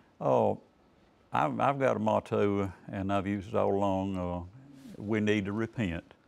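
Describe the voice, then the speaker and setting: This man speaks with a North Carolina accent at a fairly slow pace, his pitch fairly low and his pitch variation ordinary. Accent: US Southern (North Carolina). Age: 70s. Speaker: political candidate. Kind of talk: TV interview. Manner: laid-back; hesitant, many fillers.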